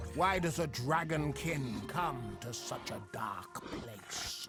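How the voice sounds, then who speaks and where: In a put-on character voice, a man with a fairly high pitch speaks at a very slow pace, with hissing and clear music in the background. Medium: machinima. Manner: archaic, speaks of itself in third person.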